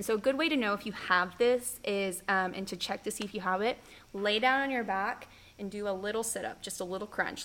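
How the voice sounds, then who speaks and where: A woman with an American accent talks in an ordinary speaking voice at medium pitch, with a fairly quick pace and fairly even intonation. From Oklahoma, US (Norman). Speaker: physical therapist. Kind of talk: casual interview.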